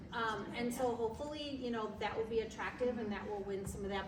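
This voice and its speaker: Her fairly high pitch moves with ordinary variation as the woman speaks. Noticeable background noise and audible room echo fill the recording. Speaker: women's club officer. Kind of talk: business meeting report. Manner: loud; casual, filler-heavy.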